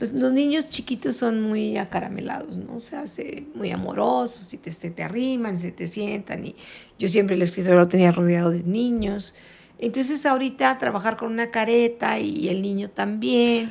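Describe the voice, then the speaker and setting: An unremarkable speaking voice from a woman of medium pitch, moderate pace, lively intonation and big swings in loudness. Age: 60s. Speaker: retired teacher. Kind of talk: casual chat.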